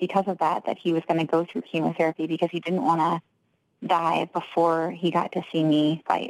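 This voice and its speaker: An unremarkable speaking voice at a moderate pace with fairly even intonation. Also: woman. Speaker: professional fighter. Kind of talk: casual interview.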